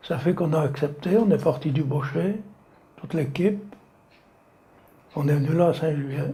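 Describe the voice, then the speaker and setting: Audible room echo surrounds a man with a fairly high pitch, a dark, mellow tone and a somewhat breathy sound. He speaks at a moderate pace with ordinary pitch variation and long, frequent pauses. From France, Savoie (Maurienne valley). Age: 80s+. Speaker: retired slate quarry worker. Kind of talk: oral history interview. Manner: halting.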